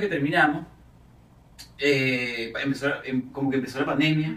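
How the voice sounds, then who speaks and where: With a Venezuelan accent, a man speaks at a moderate pace over noticeable background noise and audible room echo. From Venezuela (Caracas). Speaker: actor and singer. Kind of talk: casual interview.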